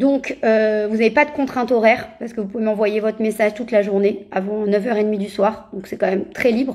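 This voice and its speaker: Fairly even intonation accompanies delivery at a fairly quick pace. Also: woman. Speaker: parenting coach. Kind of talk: Instagram live talk. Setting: Instagram live video. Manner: fast; hesitant, many fillers.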